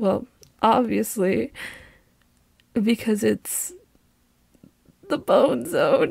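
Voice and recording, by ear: Putting on a character voice, a woman speaks fairly high at a very slow pace, with a husky, rough edge, vocal fry and long, frequent pauses. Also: slightly mellow tone.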